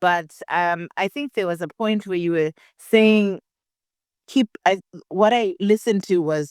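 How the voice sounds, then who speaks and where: A woman of medium pitch speaks fairly slowly in an African accent, with long, frequent pauses and ordinary pitch variation. The recording is very clean, with a silent background and a dry, close sound with no echo. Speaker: test taker who scored top marks. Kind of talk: interview. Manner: halting.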